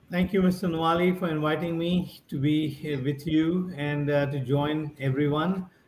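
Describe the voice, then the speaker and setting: Noticeable background noise accompanies a man speaking at a fairly high pitch with fairly even intonation. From India, near Mumbai. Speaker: business founder and investor. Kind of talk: interview.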